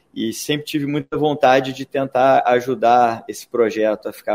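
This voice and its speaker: Fairly even intonation from a man, delivered at a fairly slow pace. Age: 40s. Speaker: entrepreneur. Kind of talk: interview. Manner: halting.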